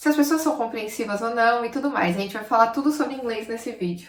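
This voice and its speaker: Against noticeable background noise, a woman talks in a fairly high voice. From Brazil, São Paulo. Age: 20s. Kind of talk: casual talk to camera.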